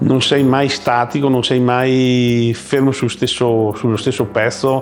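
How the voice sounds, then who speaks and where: Music runs in the background. Over it, a man talks at medium pitch. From Veneto, Italy (Vittorio Veneto area). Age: 60s. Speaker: plumbing business owner. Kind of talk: interview testimony. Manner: hesitant, with fillers.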